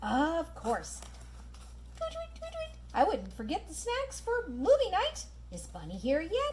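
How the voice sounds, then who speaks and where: A cartoonish character voice that sounds female. Clear background noise runs behind it. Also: fairly slow pace. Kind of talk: children's puppet show.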